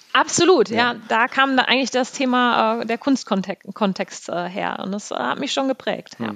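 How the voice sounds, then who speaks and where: A woman with a fairly high pitch and ordinary pitch variation speaks at a fairly slow pace with hardly any pauses, in a dry, close sound with no echo, over noticeable background noise. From NRW, Münsterland (Selm). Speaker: travel company managing director. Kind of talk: casual interview. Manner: halting, many fillers.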